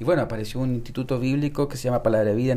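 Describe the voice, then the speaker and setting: This is a man's voice with a dark, mellow tone. His pitch varies in an ordinary way. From Chile (Santiago). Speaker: church member, seminary student. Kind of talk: testimony. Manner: halting, many repetitions.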